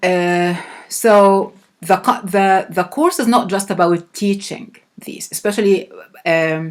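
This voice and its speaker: A woman with an Arabic accent speaks at a medium pitch, with ordinary pitch variation. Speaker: professor. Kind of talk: lecture. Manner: halting.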